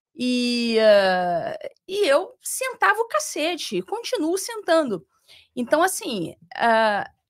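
In a Rio de Janeiro accent, a woman speaks with very wide pitch swings over a quiet background. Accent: carioca. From Rio de Janeiro, Brazil. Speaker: former judge. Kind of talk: interview. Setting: studio. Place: studio. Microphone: studio mic.

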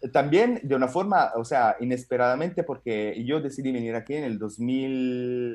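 Fairly slow speech in an Italian accent, with ordinary pitch variation. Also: man. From Italy. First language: Italian (speaking Spanish). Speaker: stand-up comedian. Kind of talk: casual chat. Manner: halting. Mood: cheerful, animated. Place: home room. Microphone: video call.

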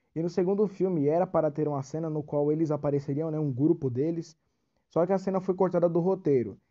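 Pitched fairly high, a man speaks at a very fast pace. His pitch variation is ordinary. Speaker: YouTuber. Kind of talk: casual video explainer. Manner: hesitant, filler-heavy; reading from script at times.

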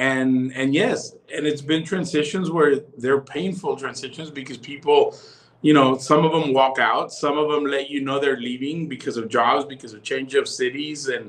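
In an ordinary speaking voice, a man with an American accent talks at a moderate pace and fairly high pitch, his intonation fairly even. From Texas. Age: 40s. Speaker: pastor. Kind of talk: casual chat. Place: home room. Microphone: video call.

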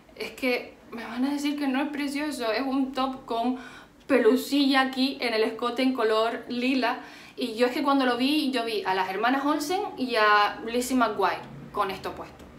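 At a fairly slow pace, a woman with a high pitch and ordinary pitch variation speaks in a room with audible echo. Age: 20s. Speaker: beauty and fashion youtuber; fashion youtuber. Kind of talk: haul video monologue. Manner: animated. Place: home room. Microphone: phone near.

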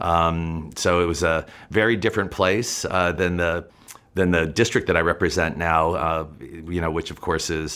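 The man's very deep, low voice keeps a fairly even intonation. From New Mexico, rural. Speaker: state legislator. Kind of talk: interview answers.

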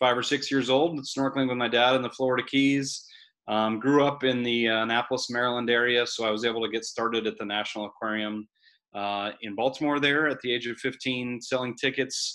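Against a quiet background, a man speaks at a fairly quick pace. His intonation is fairly even. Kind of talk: webinar presentation. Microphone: webcam.

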